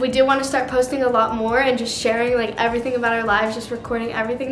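Ordinary pitch variation, with audible room echo and light background noise. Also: woman. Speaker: vlogger. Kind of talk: casual vlog chat. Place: kitchen.

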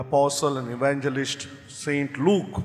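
Very slow pace over faint music in the background. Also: man. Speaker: priest celebrating Mass. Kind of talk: liturgical introduction, homily-like. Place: church. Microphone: podium.

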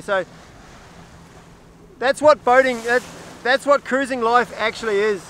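In a raised, projected voice, a man speaks fairly quickly with fairly even intonation, the sound dry with no echo and light background noise behind him. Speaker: solo sailor vlogger. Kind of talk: casual vlog chat. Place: boat. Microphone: phone near.

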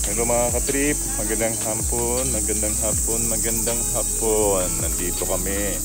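Clear music plays in the background as a man speaks at a fairly slow pace, his voice dry with no echo. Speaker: family travel vlogger. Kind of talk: casual vlog chat. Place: garden. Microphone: phone near.

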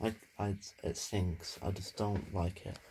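A man speaks in a very deep, low pitch with ordinary pitch variation. His voice is somewhat breathy over light background noise. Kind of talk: casual vlog chat. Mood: amused, excited. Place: kitchen. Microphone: phone near.

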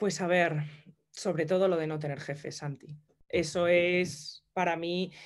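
A woman speaks fairly slowly in a fairly low pitch. Her intonation is monotone and flat. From Madrid, Spain; Spain. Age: 30s. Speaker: entrepreneur and hairdresser; interview guest. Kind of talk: interview. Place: home room. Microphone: video call.

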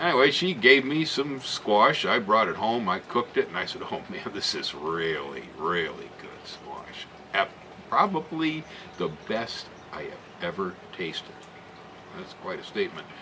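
A man at a fairly slow pace, big swings in loudness, noticeable background noise behind him. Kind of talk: casual vlog chat. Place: garden. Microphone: camera far.

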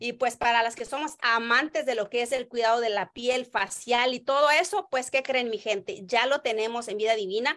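In a Mexican accent, a woman speaks at a high pitch and a moderate pace with a bright, sharp tone, ordinary pitch variation, hardly any pauses and a quiet background. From Oaxaca, Mexico (rural village). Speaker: network marketing distributor; direct sales promoter. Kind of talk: sales pitch livestream. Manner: animated. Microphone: video call.

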